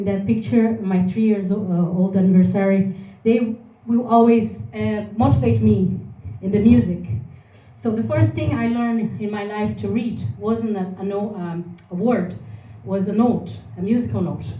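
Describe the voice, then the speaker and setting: A woman with a Brazilian Portuguese accent talks at medium pitch with a dark, mellow tone and vocal fry. Her intonation is lively, and room echo is audible. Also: moderate pace. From Brazil, Porto Alegre. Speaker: singer-songwriter. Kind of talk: presentation. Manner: halting.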